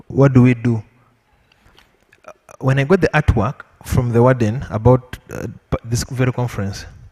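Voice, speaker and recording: Captured in a dry, close sound with no echo, a man with a medium pitch and a somewhat breathy voice speaks at a moderate pace with fairly even intonation. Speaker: panelist. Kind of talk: panel discussion.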